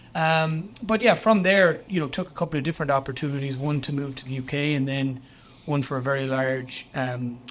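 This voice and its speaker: In an Irish accent, a man speaks at a fairly high pitch and fairly quick pace with ordinary pitch variation, on a very clean recording with a silent background. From West of Ireland. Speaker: chief financial officer. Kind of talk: interview.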